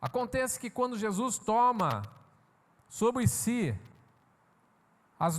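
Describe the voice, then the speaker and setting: A man speaks at a very slow pace. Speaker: pastor. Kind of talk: sermon.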